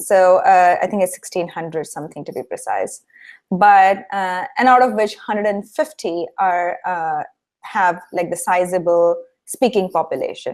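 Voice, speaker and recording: In a Marathi accent, a woman speaks at a medium pitch with ordinary pitch variation, on a very clean recording with a silent background. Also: moderate pace. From India, Mumbai (Maharashtra). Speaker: industrial designer and founder. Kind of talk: interview. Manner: hesitant with fillers and repetitions.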